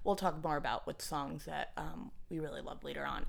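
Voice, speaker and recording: The voice has vocal fry and ordinary pitch variation. It moves at a fairly quick pace. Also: woman. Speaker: podcast host. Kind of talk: casual chat. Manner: fast talker; excitable.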